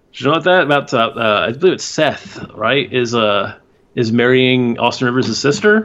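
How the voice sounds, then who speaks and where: Using a plain, everyday voice, a man with an American accent talks at a moderate pace and medium pitch with lively intonation. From Houston, Texas. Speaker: basketball podcast guest. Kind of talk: casual chat.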